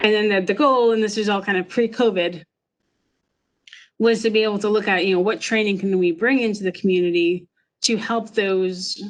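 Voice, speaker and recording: Against a quiet background, a woman uses an ordinary speaking voice at medium pitch and a fairly quick pace. Her intonation is fairly even and her loudness very even. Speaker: emergency manager. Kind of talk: webinar presentation. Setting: online webinar.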